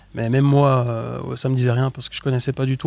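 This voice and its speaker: Over music in the background, a man talks at a very fast pace. His medium pitch keeps a fairly even intonation. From Switzerland (French-speaking). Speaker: youtuber, comedy sketch creator. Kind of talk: casual interview chat.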